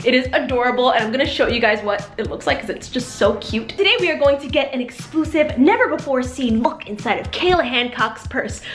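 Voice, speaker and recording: A high-pitched woman at a fairly quick clip with lively intonation and hardly any pauses, music in the background and audible room echo. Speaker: beauty and lifestyle vlogger. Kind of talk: casual vlog talk to camera. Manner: animated.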